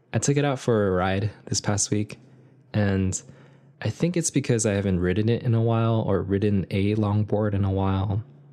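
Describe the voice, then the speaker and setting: With an American accent, a man talks in an unremarkable speaking voice of fairly low pitch, ordinary pitch variation and very even loudness against a quiet background. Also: moderate pace. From US, Korean American. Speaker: podcast host. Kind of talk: solo reflective monologue. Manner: casual.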